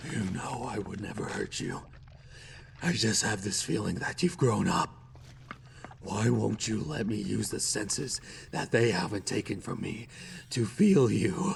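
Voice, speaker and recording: A man performs a put-on character voice at medium pitch and a moderate pace, with long, frequent pauses. Light background noise is present. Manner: pleading, creepy.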